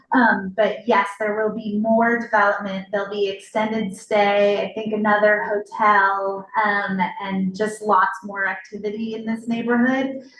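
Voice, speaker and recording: Over noticeable background noise, a woman with a fairly high pitch speaks at a fairly slow pace in a monotone, flat intonation with hardly any pauses. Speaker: city official. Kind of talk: public Q&A at community meeting. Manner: loud.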